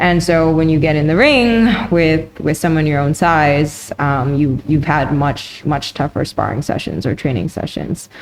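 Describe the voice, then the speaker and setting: Over noticeable background noise, a woman with a Canadian accent speaks at a very deep, low pitch with very even loudness. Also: ordinary pitch variation, fairly slow pace. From Canada. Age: 30s. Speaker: professional Muay Thai fighter. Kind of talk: interview. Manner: halting.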